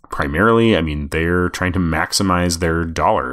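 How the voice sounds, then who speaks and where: Someone with a Midwestern US accent speaks at a fairly quick pace with lively intonation, on a very clean recording with a silent background. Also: man. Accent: US Midwest. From Nebraska, Omaha. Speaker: podcast host, music journalist. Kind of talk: solo podcast monologue answering listener questions.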